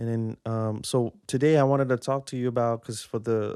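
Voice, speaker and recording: A man speaks at a moderate pace with a slight Singaporean accent, his medium-pitched voice dark and mellow, his intonation flat and monotone, in a dry, close recording with no echo. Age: 30s. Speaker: podcaster. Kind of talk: casual monologue. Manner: halting, many fillers and repeats.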